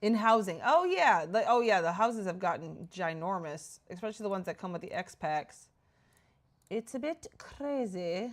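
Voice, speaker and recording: Lively intonation in a Minnesota accent. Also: woman, medium pitch for a woman, moderate pace. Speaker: game streamer. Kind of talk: casual chat.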